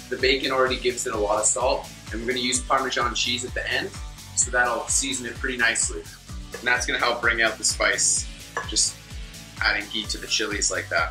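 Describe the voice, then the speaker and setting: This man talks at a fairly quick speed while clear music plays behind him. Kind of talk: tutorial. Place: kitchen.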